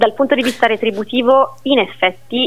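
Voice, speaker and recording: Moderate pace from a woman speaking. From Siena, Tuscany, Italy. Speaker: teacher. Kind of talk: interview. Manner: animated.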